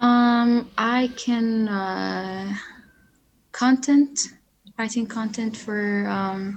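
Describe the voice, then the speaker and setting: A woman speaks at a fairly high pitch in a somewhat breathy voice, with fairly even intonation and long, frequent pauses against a quiet background. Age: young. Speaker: podcast guest. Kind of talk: personal testimony. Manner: hesitant.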